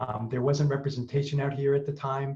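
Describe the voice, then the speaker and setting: The voice is somewhat breathy, with a monotone, flat intonation. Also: man. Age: 60s. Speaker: Parkinson's patient ambassador. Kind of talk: panel discussion, personal introduction. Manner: halting, many fillers.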